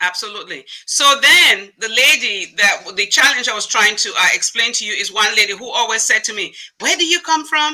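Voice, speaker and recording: With an African accent, a woman speaks at a moderate pace and fairly high pitch, hardly pausing, and her pitch swings very widely. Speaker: diversity consultant and former nurse. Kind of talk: interview.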